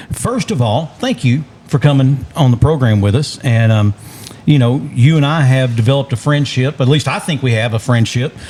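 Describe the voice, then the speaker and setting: Noticeable background noise sits behind a man speaking at a moderate pace with a medium pitch and ordinary pitch variation. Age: 50s. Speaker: podcast host. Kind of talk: casual chat.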